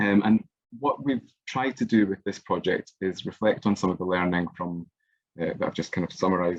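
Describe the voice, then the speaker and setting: A man talks at a fairly quick pace. His fairly low pitch shows ordinary variation. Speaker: music evaluation researcher. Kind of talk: online workshop presentation. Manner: fast; hesitant, many fillers.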